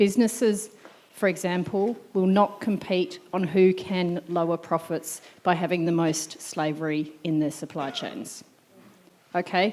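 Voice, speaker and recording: Spoken at a fairly slow pace with an Australian accent, the voice shows ordinary pitch variation over noticeable background noise. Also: woman, medium pitch for a woman. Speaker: audience member asking a question. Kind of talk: Q&A question at a symposium.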